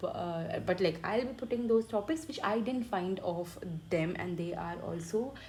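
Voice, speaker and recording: A woman with an Indian accent speaks in a medium pitch at a moderate pace. Her intonation is lively. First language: Hindi. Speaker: medical student teaching online. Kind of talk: tutorial. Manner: halting.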